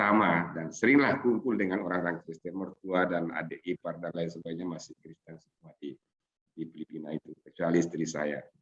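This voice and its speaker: A man's very deep, low voice at a fairly quick pace, with ordinary pitch variation and big swings in loudness. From Sulawesi, Indonesia. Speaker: Islamic scholar and seminar speaker. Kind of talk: seminar talk. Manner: halting, many fillers.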